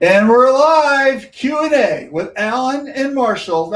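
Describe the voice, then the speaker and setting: Putting on a character voice, a man talks at a fairly slow pace with an extremely high pitch. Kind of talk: announcer.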